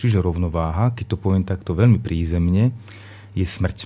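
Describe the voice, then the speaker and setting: A man with a very deep, low pitch and ordinary pitch variation speaks in a dark, mellow tone that is somewhat breathy. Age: 40s. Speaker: teacher and workshop lecturer. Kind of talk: radio talk show discussion.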